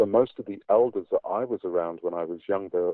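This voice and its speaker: This man speaks with a British accent. His pace is fairly quick. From England. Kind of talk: interview answer. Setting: online call.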